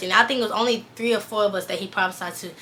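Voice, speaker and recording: A woman speaks at a very fast pace with ordinary pitch variation. Her tone is bright and sharp. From US South, Valdosta, Georgia. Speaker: fashion stylist and vlogger. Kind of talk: personal testimony. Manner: fast, rambling with fillers.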